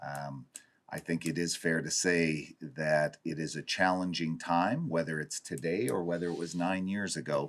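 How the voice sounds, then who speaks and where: A man speaks in a western Canadian accent. His very deep, low voice holds a fairly even intonation. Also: moderate pace. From Dawson Creek, northern British Columbia, Canada. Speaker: city chief administrator. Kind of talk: council meeting report.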